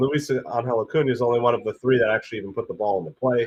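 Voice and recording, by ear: This raspy man talks at a fairly quick pace with fairly even intonation.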